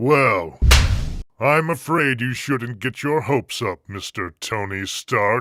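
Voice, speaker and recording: A man puts on a character voice at a medium pitch. He speaks at a fairly slow pace. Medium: solo performance.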